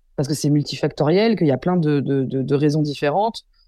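A woman speaks at a moderate pace with a very deep, low pitch and ordinary pitch variation. Her tone is dark and mellow, and the background is quiet. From Paris region, Yvelines (Versailles). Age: 20s. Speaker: journalist and documentary maker. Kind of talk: interview. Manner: animated.

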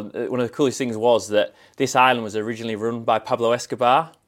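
In a very clean recording with a silent background, a man with a northern English accent speaks very fast at a medium pitch with monotone, flat intonation. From northern England, Scarborough (Yorkshire). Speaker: travel industry manager. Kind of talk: casual interview. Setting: in-person recording at an event venue.

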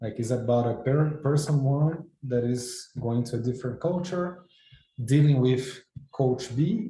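A man with a Brazilian Portuguese accent, somewhat breathy, with a dark, mellow tone, fairly high pitch, ordinary pitch variation and a fairly slow pace. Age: 40s. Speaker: football agent. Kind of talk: interview.

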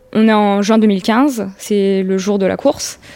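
Noticeable background noise sits behind a woman speaking at a very slow pace with medium pitch. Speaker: accident survivor. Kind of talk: testimony.

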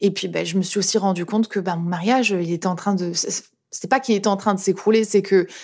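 Speaking very fast, a woman keeps a medium pitch and fairly even intonation. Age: 30s. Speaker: YouTube content creator. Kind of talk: testimony. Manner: casual, hesitant with repetitions.

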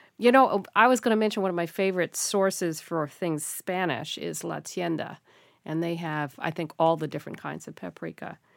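A woman with an unremarkable speaking voice talks at a moderate pace in a fairly low pitch with lively intonation, recorded very cleanly against a silent background. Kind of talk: casual chat.

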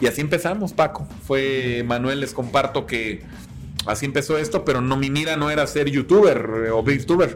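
Against music in the background, a man with a fairly high pitch talks at a moderate pace with ordinary pitch variation. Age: 30s. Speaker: beer YouTuber. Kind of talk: casual chat.

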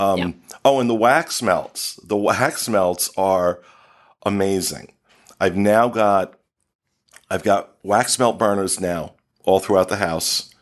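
A man's fairly low voice at a very slow pace, with ordinary pitch variation, long, frequent pauses, and a quiet background. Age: 50s. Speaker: podcast host. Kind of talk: casual chat. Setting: studio.

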